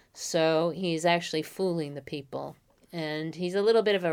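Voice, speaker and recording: With a New York accent, a woman talks at a moderate pace in a fairly low pitch, recorded very cleanly against a silent background. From the Bronx, New York. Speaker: college professor of medieval literature. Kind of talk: interview about literature.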